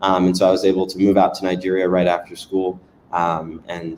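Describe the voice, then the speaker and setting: A man speaks with an American accent in a very deep, low pitch. His intonation is monotone and flat. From US South (North Carolina, then Louisiana). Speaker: startup founder and CEO. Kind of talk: interview. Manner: casual, many fillers.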